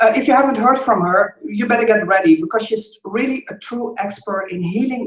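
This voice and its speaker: A woman speaks at a fairly quick pace with a Dutch accent. Her pitch is fairly high, with hardly any pauses. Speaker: business coach and interview host. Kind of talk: interview introduction. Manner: enthusiastic.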